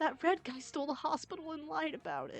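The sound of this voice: In a put-on character voice, high-pitched and squeaky, the speaker races along at a very fast pace over faint background music.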